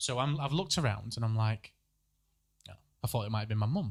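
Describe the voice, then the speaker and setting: Somewhat breathy, a man talks at a very fast pace and medium pitch. The recording is very clean, with a silent background. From Northern England. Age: 30s. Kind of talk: casual podcast storytelling.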